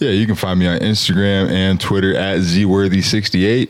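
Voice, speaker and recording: This man has a very deep, low pitch. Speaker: podcast co-host.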